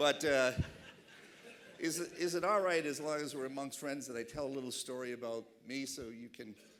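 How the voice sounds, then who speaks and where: A man with a Boston accent talks at a fairly quick pace. His pitch varies in an ordinary way. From Boston, Massachusetts. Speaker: keynote speaker. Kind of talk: keynote speech. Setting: awards dinner stage with audience.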